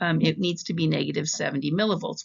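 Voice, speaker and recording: A woman talks with vocal fry and ordinary pitch variation. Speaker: psychology professor. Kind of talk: recorded lecture narration.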